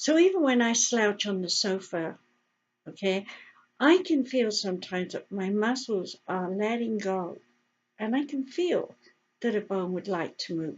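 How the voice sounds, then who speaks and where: Talking at a fairly slow pace with an English accent, a woman uses a fairly high pitch and lively intonation. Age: 70s. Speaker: health educator and radio host. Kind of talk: casual talk to camera. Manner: animated.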